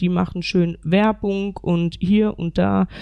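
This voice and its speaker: This woman's voice sits fairly low, with a dark, mellow tone. Her intonation is monotone and flat. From North Rhine-Westphalia, Germany. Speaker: women's football club president and coach. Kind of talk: panel discussion.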